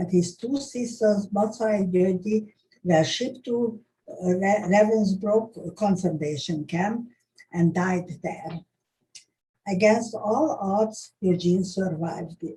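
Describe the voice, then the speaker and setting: Somewhat breathy and dark, mellow in tone, a woman speaks at a medium pitch and a very slow pace. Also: ordinary pitch variation. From Hungary (Budapest). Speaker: Holocaust survivor recounting history. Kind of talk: oral history testimony. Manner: halting, many hesitations.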